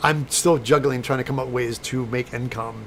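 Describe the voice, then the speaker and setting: The speaker talks at a fairly quick pace. There is noticeable noise in the background. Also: man. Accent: American. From US Midwest, St. Louis, Missouri. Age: 60s. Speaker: special effects prop maker and YouTuber. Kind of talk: casual live-stream chat.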